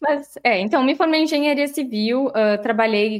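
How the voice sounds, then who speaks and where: Her pace is moderate, with ordinary pitch variation. The woman has a normal speaking voice. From Santa Maria, Rio Grande do Sul, Brazil. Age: 30s. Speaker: startup CEO. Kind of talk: interview. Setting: video call.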